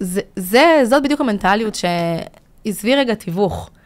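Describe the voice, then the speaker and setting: The background is quiet throughout. Over it, a woman's intonation is lively. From Israel, immigrated from Latvia at six. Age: 30s. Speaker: business consultant and trainer; trainer. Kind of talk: casual interview. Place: studio. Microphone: studio mic.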